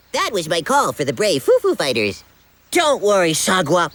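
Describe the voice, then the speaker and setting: The voice is a cartoonish character voice. Its pitch sits in the middle. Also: moderate pace. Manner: excitable, fast.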